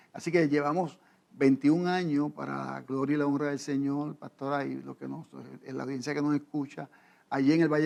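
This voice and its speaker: A man's fairly high voice moves along at a moderate pace, its intonation monotone and flat. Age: 60s. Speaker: pastor. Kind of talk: interview. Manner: halting.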